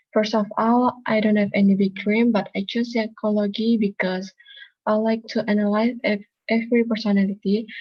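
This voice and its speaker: A woman speaks at a moderate pace in a fairly high, somewhat breathy voice, her intonation monotone and flat and her loudness very even. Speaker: psychology student. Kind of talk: class self-introduction speech.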